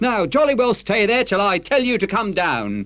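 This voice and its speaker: A put-on character voice growls, gruff and rough-edged. It moves at a moderate pace. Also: man, high pitch for a man. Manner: growling, gruff, commanding.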